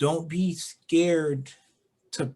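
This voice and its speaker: Here a man speaks in a somewhat breathy voice. His intonation is fairly even. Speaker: gaming podcast co-host. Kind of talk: casual chat. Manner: halting.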